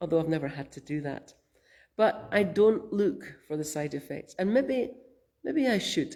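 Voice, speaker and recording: A woman in a Scottish accent at a moderate pace, fairly low in pitch with very wide pitch swings and a gentle, dark, mellow tone. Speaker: minister. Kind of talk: sermon. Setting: church. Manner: gentle, reflective.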